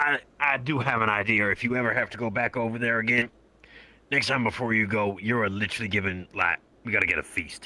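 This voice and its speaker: Putting on a character voice, a man sounds raspy at a medium pitch and moves at a fairly quick pace. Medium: actual play. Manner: casual, friendly.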